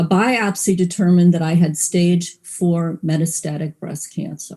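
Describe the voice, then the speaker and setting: A woman speaks with a fairly low pitch and a dark, mellow tone that is somewhat breathy. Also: fairly even intonation, moderate pace. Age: 60s. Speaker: psychotherapist and cancer patient. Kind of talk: personal testimony.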